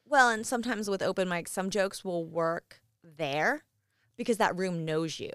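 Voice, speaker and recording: A normal speaking voice with lively intonation at a moderate pace, on a very clean recording with a silent background. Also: woman, medium pitch for a woman. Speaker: comedian and law student. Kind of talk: casual chat. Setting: home basement studio.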